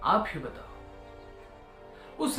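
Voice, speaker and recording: Music plays in the background as a man talks. There is audible room echo. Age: 20s. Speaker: storyteller. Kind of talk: storytelling.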